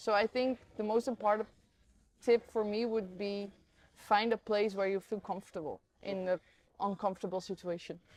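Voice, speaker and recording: Fairly even intonation shapes the medium-pitched voice of a woman talking at a moderate pace. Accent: Dutch. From Netherlands. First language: Dutch. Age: 20s. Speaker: professional Muay Thai fighter. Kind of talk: interview answer.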